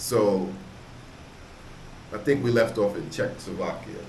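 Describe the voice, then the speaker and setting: Background noise is noticeable. A man speaks at a moderate pace. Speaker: travel vlogger and barber. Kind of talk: interviewer, casual conversation.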